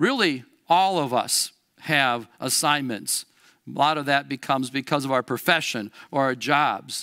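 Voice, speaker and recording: An ordinary speaking voice from a man, fairly high in pitch with ordinary pitch variation, at a fairly slow pace, on a very clean recording with a silent background. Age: 60s. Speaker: Lutheran school educator preaching. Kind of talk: sermon. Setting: church.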